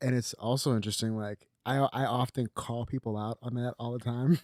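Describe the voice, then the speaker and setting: Recorded with a dry, close sound with no echo, a man mumbles in an American accent. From Los Angeles, US. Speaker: filmmaker. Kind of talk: casual chat. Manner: mumbling.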